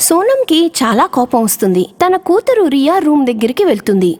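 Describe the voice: Her high-pitched voice makes big pitch swings, slightly mellow in tone, and the sound is dry and close with no echo. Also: moderate pace.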